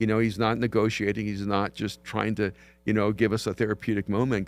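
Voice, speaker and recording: A fairly low-pitched man at a fairly quick pace, monotone and flat in intonation, in a very clean recording with a silent background. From El Salvador. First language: Spanish. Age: 60s. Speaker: pastor and author. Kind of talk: podcast interview.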